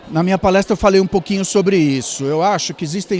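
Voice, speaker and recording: A man talks. Background noise is noticeable. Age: 60s. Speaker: media executive and speaker. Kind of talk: interview. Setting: event.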